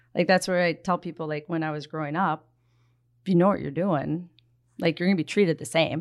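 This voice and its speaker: A woman with an Upper Midwest accent talks at a fairly quick pace in a fairly low pitch with fairly even intonation, on a very clean recording with a silent background. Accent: Upper Midwest (Minnesota). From Minnesota, Twin Cities area. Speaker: hockey coach and former pro player. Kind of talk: casual chat.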